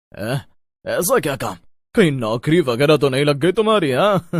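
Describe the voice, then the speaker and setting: A man's put-on character voice, fairly high in pitch and at a moderate pace, in a very clean recording with a silent background. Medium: read story. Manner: teasing, laughing.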